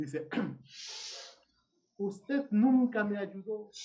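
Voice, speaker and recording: High male pitch carrying a dark, mellow tone. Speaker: seminary teacher. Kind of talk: casual chat. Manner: animated.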